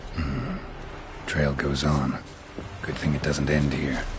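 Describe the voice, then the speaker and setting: Using a put-on character voice, a man speaks at a fairly slow pace with a very deep, low pitch. Clear background noise can be heard. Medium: short film. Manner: terse, clipped.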